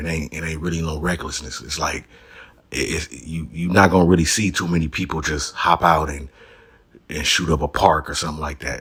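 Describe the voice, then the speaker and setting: A man with an American accent talks fairly quickly in a very deep, low voice with vocal fry. His intonation stays fairly even on a very clean recording with a silent background. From Los Angeles area. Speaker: YouTube commentator. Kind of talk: casual commentary.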